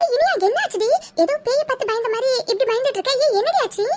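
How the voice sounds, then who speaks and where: A woman does a squeaky, cartoonish character voice at an extremely high pitch. She talks at a fairly quick pace with ordinary pitch variation. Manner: blunt, quick-tempered.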